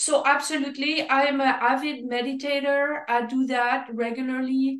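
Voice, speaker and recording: A woman speaks in a high-pitched voice. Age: 60s. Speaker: fitness expert. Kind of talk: casual chat.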